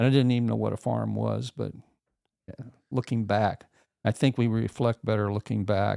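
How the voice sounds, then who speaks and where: A man with a Midwestern US accent at a moderate pace, in a dry, close sound with no echo. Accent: rural Midwestern American. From rural northern Missouri. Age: 70s. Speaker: podcast guest. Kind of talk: casual interview.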